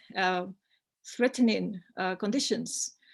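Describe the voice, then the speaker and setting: With a Spanish accent, a woman talks at a fairly slow pace in a very clean recording with a silent background. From Spain. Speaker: academic presenter. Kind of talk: conference presentation. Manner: hesitant, many fillers.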